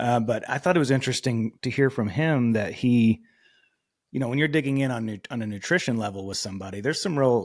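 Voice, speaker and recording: A man with an American accent talks at a very fast pace, recorded very cleanly against a silent background. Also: medium pitch for a man, ordinary pitch variation. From Texas. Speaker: podcast host. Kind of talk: casual interview chat. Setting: podcast recording.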